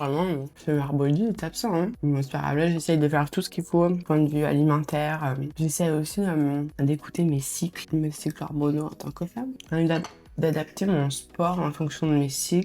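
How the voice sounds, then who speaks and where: A woman's very deep, low pitch with a dark, mellow tone, fairly even intonation and hardly any pauses. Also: moderate pace. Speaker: vlogger. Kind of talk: casual vlog talk to camera. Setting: at home, breakfast. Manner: hesitant, many fillers.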